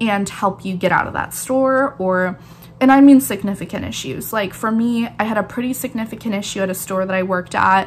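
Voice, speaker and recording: Her voice, a plain, everyday voice, sits at a medium pitch as the woman talks at a moderate pace with ordinary pitch variation. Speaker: barista and YouTuber. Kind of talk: casual vlog talk.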